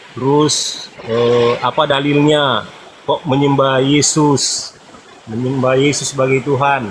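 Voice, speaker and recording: A man with a North Sulawesi accent, fairly high pitch, monotone, flat intonation and a very slow pace over noticeable background noise. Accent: Manado accent, stiff Indonesian. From Manado, North Sulawesi, Indonesia. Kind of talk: call-in debate. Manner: halting.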